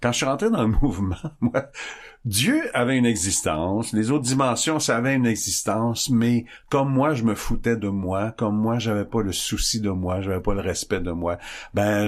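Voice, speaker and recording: With an unremarkable speaking voice, a man speaks at a moderate pace in a fairly low pitch, using ordinary pitch variation. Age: 60s. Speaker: recovering alcoholic guest. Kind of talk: testimony.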